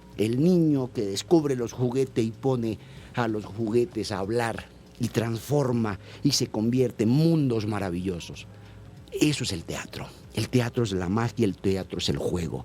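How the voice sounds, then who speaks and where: A man talks at a medium pitch while music plays behind him. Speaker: theatre director. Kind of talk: radio interview.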